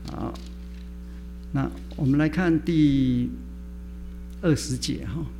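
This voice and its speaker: A man with a Chinese accent talks at a very slow pace with long, frequent pauses amid noticeable background noise and audible room echo. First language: Mandarin Chinese. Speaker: preacher. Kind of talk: sermon.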